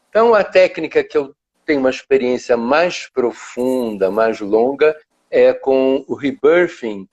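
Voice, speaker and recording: Speaking at a very slow pace, a man with a fairly high pitch makes very wide pitch swings against a quiet background. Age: 70s. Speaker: psychologist and therapist. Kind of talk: interview. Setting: online live video call.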